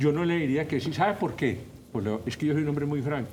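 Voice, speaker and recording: A man with a fairly high voice and ordinary pitch variation talks amid audible room echo. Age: 70s. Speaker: professor and political commentator. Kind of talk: talk show interview. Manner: animated.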